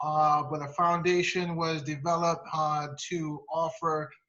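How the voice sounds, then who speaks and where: A man with a fairly high pitch has an unremarkable speaking voice, talking at a fairly slow pace with fairly even intonation. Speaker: foundation host. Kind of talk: welcome remarks at an online meeting.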